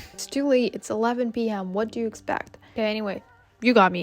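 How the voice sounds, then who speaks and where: Music plays in the background. A woman speaks with a non-native accent. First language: not English. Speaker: vlogger. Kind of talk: casual vlog talking to camera. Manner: casual, chatty.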